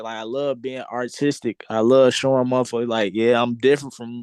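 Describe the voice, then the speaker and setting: Medium-pitched male speech at a fairly quick pace with hardly any pauses. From Chicago. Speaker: rapper. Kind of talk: casual interview chat.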